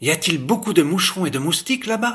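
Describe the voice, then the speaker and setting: A man talks in a put-on character voice, pitched high. He goes at a fairly quick pace. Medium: read story. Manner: polite, eager.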